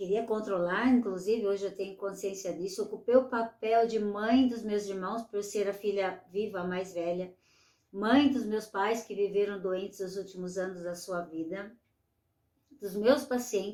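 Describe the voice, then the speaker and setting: Her dark, mellow tone sits at a medium pitch as the woman speaks at a fairly slow pace with fairly even intonation. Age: 60s. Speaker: retired nurse, aging coach. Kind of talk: online masterclass lecture.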